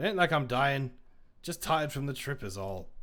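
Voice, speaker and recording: In a put-on character voice, a man speaks at a moderate pace with a fairly high pitch, lively intonation and a wheezy, gruff sound, on a very clean recording with a silent background. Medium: read story. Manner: gruff, stubborn.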